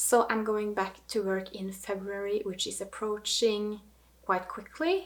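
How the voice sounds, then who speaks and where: In a fairly high pitch, a woman speaks at a fairly slow pace with a Norwegian accent. Noticeable background noise is present. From Norway. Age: 30s. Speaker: knitting vlogger. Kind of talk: casual vlog monologue.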